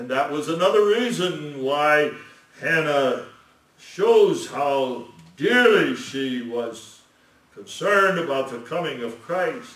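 A man speaks at a very slow pace. There is audible room echo. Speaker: lecturer on scripture. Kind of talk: sermon.

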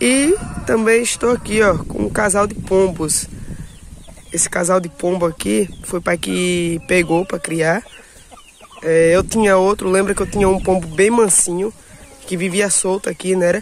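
A man with a high pitch talks fairly slowly, with long, frequent pauses and noticeable background noise. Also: ordinary pitch variation. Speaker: YouTuber, small-scale poultry keeper. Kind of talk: casual vlog. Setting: outdoors at home.

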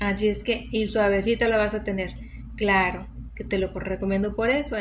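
A woman talks over light background noise. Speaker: home health tips vlogger. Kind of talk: casual vlog chat. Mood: warm, encouraging. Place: home room. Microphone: phone near.

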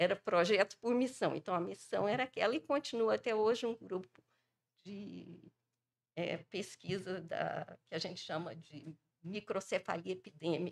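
Her intonation lively and her voice showing vocal fry, a woman speaks at a moderate pace. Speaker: epidemiologist; panelist. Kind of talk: panel talk. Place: hall. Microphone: podium.

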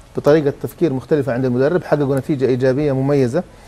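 Amid noticeable background noise, a man talks at a fairly quick pace with a fairly high pitch. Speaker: football pundit. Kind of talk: TV sports panel discussion. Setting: TV studio.

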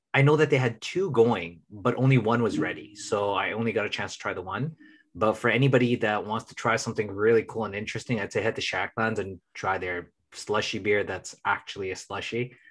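In a normal speaking voice with an American accent, a man talks fairly quickly at medium pitch with ordinary pitch variation, big swings in loudness and hardly any pauses. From Minnesota, US. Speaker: podcast co-host. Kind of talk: casual chat.

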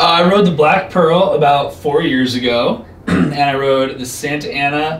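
A man's fairly high voice at a fairly slow pace, with ordinary pitch variation and audible room echo.

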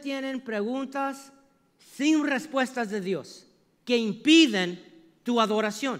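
In a quiet background, a man speaks fairly slowly at an extremely high pitch. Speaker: preacher. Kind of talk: sermon. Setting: church. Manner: animated; call-and-response. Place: church.

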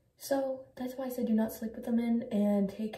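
Noticeable background noise runs under a woman speaking at a moderate pace with ordinary pitch variation. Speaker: skincare vlogger. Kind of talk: casual vlog chat.

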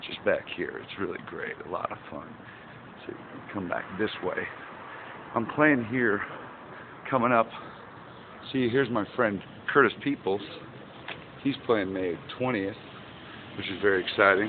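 Against faint background noise, a man with a fairly low pitch speaks at a fairly slow pace, with ordinary pitch variation and long, frequent pauses.

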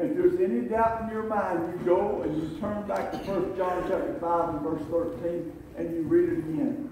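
A man speaks in a high voice with lively intonation at a fairly slow pace. Noticeable background noise runs underneath. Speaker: pastor. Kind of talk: sermon. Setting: church.

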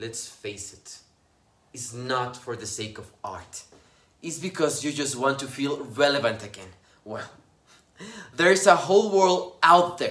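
A man speaks at a fairly slow pace. His pitch variation is ordinary. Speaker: actor. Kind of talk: dramatic monologue performance. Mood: scornful, confrontational. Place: home room. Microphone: phone near.

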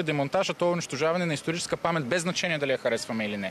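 A man speaks at a very fast pace with ordinary pitch variation, in a dry sound with no echo and light background noise. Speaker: municipal councillor. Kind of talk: heated debate. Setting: outdoors. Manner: animated. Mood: indignant, accusatory. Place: street. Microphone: handheld.

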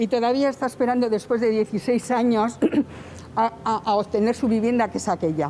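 A woman talks at a moderate pace with ordinary pitch variation, with light background noise behind her. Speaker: relative of evicted neighbor. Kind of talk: interview answer. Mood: indignant, complaining of injustice. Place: street.

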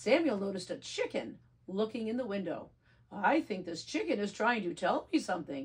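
Lively intonation in an unforced reading voice

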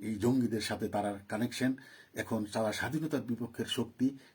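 A somewhat breathy man at a medium pitch, with ordinary pitch variation. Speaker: political commentator. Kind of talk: live political monologue. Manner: animated.

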